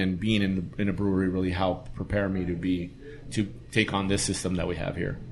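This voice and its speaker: Audible room echo surrounds a man with an American accent. His pitch is very deep and low, with fairly even intonation. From East Los Angeles. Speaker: brewer. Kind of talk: casual chat.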